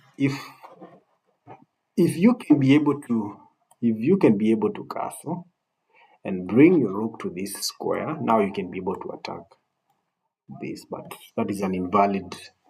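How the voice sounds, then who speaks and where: With a non-native accent, a man of medium pitch and dark, mellow tone speaks at a moderate pace, his pitch swinging very widely and his loudness shifting a lot between long, frequent pauses. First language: not English. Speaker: chess coach. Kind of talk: tutorial. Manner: halting, repeats words.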